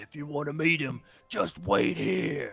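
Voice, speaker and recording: Putting on a raspy character voice, a man talks fairly slowly in a fairly high pitch while faint music plays in the background. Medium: actual play. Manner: blunt, gruff.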